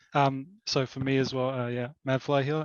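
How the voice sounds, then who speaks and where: A man with an Australian accent and medium pitch talks at a moderate pace with a monotone, flat intonation, in a dry, close sound with no echo. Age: 20s. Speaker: game project co-founder, accountant. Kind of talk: interview.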